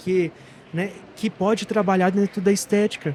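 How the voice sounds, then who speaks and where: A man speaks here. His tone is dark and mellow. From Goiás, central Brazil (Trindade). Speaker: physiotherapist and course teacher. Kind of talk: interview. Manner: animated.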